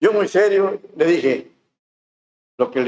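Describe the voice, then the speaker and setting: The pace is fairly slow. A man does the talking. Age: 70s. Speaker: pastor. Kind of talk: sermon. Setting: church.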